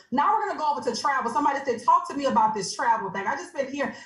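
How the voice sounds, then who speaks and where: Animated in tone, a woman with a high pitch and lively intonation speaks over noticeable background noise. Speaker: online business presenter. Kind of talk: sales pitch. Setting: video call. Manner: fast.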